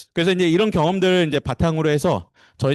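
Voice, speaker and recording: A man talking at a very fast pace, with a dry, close sound, no echo and a quiet background. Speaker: corporate trainer. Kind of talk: lecture. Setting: seminar room with live online audience. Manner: hesitant, many fillers.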